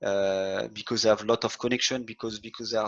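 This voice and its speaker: Delivered in a French accent, the speech runs at a very fast pace with monotone, flat intonation. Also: man. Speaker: hotel sustainability head. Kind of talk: webinar presentation. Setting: online webinar. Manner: halting, many repetitions.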